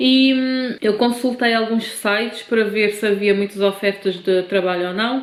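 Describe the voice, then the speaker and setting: A woman's fairly high voice at a fairly slow pace, fairly even in intonation, with hardly any pauses and noticeable background noise. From Cape Verde, then Portugal from age 15. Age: 30s. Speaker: vlogger. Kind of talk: personal vlog storytelling.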